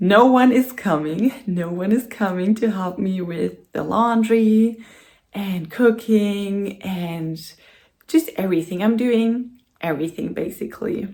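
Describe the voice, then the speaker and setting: A woman's dark, mellow tone with a German accent, at a very slow pace. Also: medium pitch for a woman, ordinary pitch variation. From Germany. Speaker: vlogger. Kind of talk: casual vlog talk to camera. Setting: home, in front of the camera. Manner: hesitant, with many fillers.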